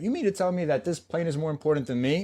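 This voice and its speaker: A man with a Spanish accent, talking at a very fast pace. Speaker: navy veteran, self mastery coach. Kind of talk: interview answer.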